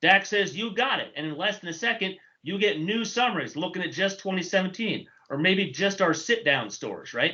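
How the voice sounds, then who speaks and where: The man's pitch is high. He talks at a fairly quick pace. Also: ordinary pitch variation. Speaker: data analytics trainer. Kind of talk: technical presentation. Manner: fast.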